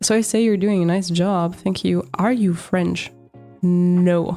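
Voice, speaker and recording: With a German accent, a woman speaks at a medium pitch in a dark, mellow tone, her intonation fairly even. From Italian heritage, raised in Germany. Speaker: artist livestreamer. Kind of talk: casual livestream chat while drawing. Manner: casual, thinking aloud.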